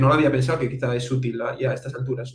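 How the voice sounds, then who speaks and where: A man's fairly high-pitched voice in a monotone, flat intonation, with audible room echo. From Spain. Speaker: interviewer. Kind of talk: interview.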